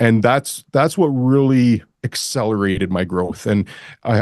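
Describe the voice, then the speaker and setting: In a normal speaking voice with a Canadian accent, a man talks at a moderate pace with ordinary pitch variation against a quiet background. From Canada. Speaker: commercial real estate broker. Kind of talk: podcast interview.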